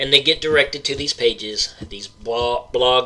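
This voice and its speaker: A man with an Oklahoma accent talks at a fairly slow pace over noticeable background noise. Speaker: paranormal podcast host. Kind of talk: rant. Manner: animated.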